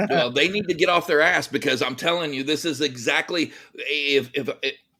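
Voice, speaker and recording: Loud and bright with a sharp tone, a man with an American accent speaks at a moderate pace and a fairly high pitch. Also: ordinary pitch variation. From Texas. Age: 50s. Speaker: entrepreneur and army veteran. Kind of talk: podcast interview.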